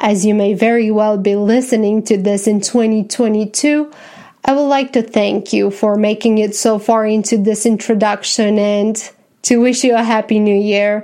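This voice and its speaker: A woman speaks at a moderate pace with a fairly high pitch and a dark, mellow tone. Her intonation is monotone and flat, and her loudness stays very even. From Romania. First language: Romanian. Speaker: podcast host, visual artist and writer. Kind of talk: scripted podcast introduction. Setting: home. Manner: formal.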